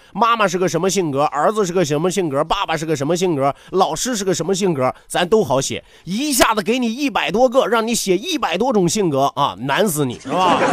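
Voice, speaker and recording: This man's voice sits high, and he talks at a fairly quick pace with hardly any pauses. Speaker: radio talk show host. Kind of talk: entertainment talk show monologue. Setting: radio studio. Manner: animated; laughs often.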